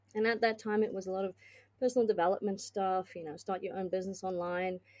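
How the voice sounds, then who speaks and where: In a very clean recording with a silent background, a woman speaks in a dark, mellow tone. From South Africa. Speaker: business consultant and tech executive. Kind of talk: podcast interview. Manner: hesitant, many fillers.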